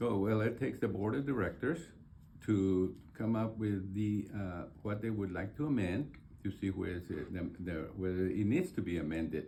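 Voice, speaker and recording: A man's fairly low, dark and mellow voice with an American accent, somewhat breathy, at a moderate pace with ordinary pitch variation and audible room echo. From Texas, San Antonio. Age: 70s. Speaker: board candidate. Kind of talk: interview. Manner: halting, many fillers.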